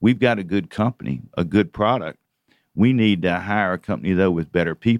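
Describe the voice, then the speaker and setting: With an American accent and an ordinary speaking voice, a man talks at a fairly quick pace and fairly low pitch, with ordinary pitch variation, in a dry, close sound with no echo and a quiet background. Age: 60s. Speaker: investment banker. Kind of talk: radio interview. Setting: studio.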